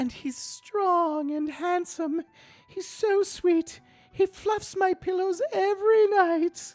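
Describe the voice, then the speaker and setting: An extremely high put-on character voice at a very slow pace, with faint music in the background. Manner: slow, dreamy, theatrical.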